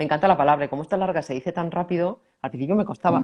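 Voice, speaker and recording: A dark, mellow tone in a Castilian accent, with ordinary pitch variation. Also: woman. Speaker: personal growth teacher. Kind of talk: conversational teaching talk.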